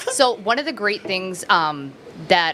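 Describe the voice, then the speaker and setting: Noticeable background noise accompanies a woman speaking at a medium pitch with lively intonation. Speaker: person in addiction recovery. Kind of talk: casual chat. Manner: fast.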